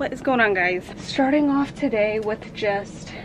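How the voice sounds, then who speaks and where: The speaker uses ordinary pitch variation. Background noise is noticeable. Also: woman. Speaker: family vlogger. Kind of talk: casual vlog chat. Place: home room. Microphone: phone near.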